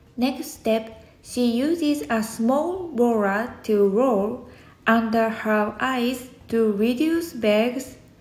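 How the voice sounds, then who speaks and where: A woman's fairly high voice, very slow, with a Japanese accent. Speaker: podcaster. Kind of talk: scripted monologue.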